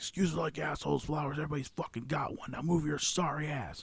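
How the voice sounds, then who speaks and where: Using a put-on character voice, a man talks at a very fast pace and a fairly high pitch. His voice is raspy, with fairly even intonation. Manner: barking, commanding.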